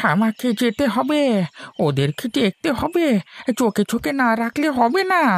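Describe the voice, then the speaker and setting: Putting on a cartoonish character voice, a man speaks at an extremely high pitch with very wide pitch swings and a fairly slow pace, in a dry, close sound with no echo. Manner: agitated, repetitive.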